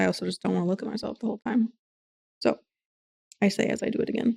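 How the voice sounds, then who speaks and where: Mumbling at a very fast pace, a woman with vocal fry and a dark, mellow tone keeps a fairly even intonation in a dry, close sound with no echo. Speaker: livestreamer. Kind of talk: casual chat. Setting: home livestream at desk. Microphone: desk mic tilted close.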